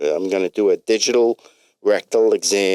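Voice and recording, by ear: The background is quiet. Over it, a text is read aloud in a natural voice.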